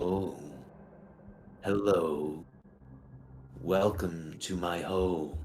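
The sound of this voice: At a very slow pace, a man uses a put-on character voice with a very deep, low pitch. He leaves long, frequent pauses.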